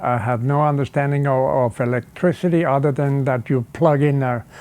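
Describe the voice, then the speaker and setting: At a moderate pace, a man with a German accent speaks fairly high in pitch with fairly even intonation. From Switzerland. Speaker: car designer. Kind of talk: interview.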